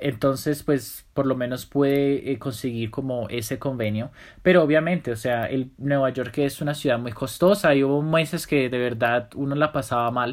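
A man talks at medium pitch and a moderate pace in an ordinary speaking voice, with ordinary pitch variation, hardly any pauses, and a very clean recording over a silent background. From Colombia. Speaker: professional dancer. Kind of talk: interview.

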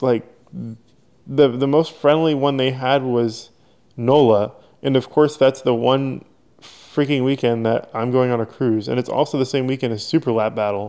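A man's ordinary speaking voice at a moderate pace, with fairly even intonation over a quiet background. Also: medium pitch for a man. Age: 20s. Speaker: autocross driver and parts maker. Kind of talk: casual chat.

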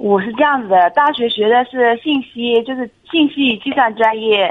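With ordinary pitch variation, the speaker keeps to a moderate pace. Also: woman. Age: 30s. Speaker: temporary worker at a state firm. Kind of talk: radio call-in advice.

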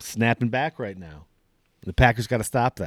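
A man with a Wisconsin accent talks at a fairly quick pace in a very clean recording with a silent background and a dry, close sound with no echo. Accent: Upper Midwest (Wisconsin). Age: 40s. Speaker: sports podcast host. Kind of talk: casual solo sports commentary.

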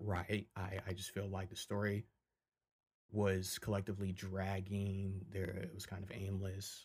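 In a very clean recording with a silent background, a man with an American accent speaks fairly slowly in a fairly low, somewhat breathy voice with flat, monotone intonation. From Michigan. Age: 20s. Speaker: podcast host, film commentator. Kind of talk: solo casual commentary. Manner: casual, many fillers.

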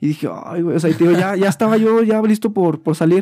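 Here a man speaks with a high pitch and a dark, mellow tone. The recording is very clean, with a silent background. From Mexico, San Luis Potosí. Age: 20s. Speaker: student and small business owner. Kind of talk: casual interview chat.

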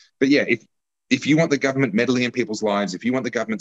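A man with an Australian accent speaks with lively intonation in a dry, close sound with no echo. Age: 40s. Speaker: political commentator and candidate. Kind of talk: casual chat.

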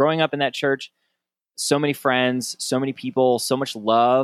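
A man with a plain, everyday voice speaks at a medium pitch. The recording is very clean with a silent background and a dry, close sound with no echo. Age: 30s. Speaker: podcast host, former pastor. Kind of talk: casual interview.

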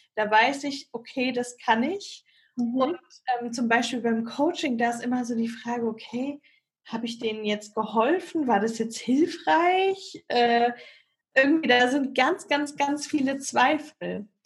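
Her voice sits high, and the woman's pitch rises and falls in an ordinary way. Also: fairly slow pace. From Hesse, Germany (Bad Homburg near Frankfurt). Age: 20s. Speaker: marketing worker and aspiring yoga teacher and coach. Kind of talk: coaching conversation. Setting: video call. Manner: halting.

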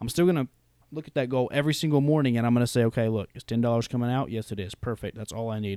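On a very clean recording with a silent background and a dry, close sound with no echo, a man with an American accent speaks at a very fast pace in a dark, mellow tone with a medium pitch and ordinary pitch variation. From North Carolina. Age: 20s. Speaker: podcaster. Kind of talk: casual chat.

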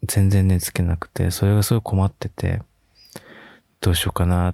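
At a moderate pace, a man with a very deep, low pitch and a dark, mellow tone speaks in a dry, close sound with no echo on a very clean recording with a silent background. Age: 20s. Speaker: podcaster. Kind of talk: casual monologue. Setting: lying in bed in a dark room. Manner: soft-spoken.

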